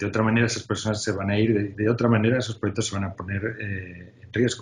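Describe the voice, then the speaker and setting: A man talks at a very fast pace in a fairly low, somewhat breathy voice with monotone, flat intonation. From Spain. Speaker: UX design executive. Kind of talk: interview. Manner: hesitant, many filler sounds.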